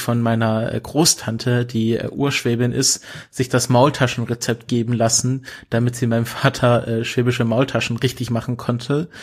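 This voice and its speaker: In a very clean recording with a silent background, a man speaks at a moderate pace with a medium pitch and a somewhat breathy voice. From Swabia, southwest Germany. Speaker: podcast co-host. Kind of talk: casual chat. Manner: hesitant, many fillers.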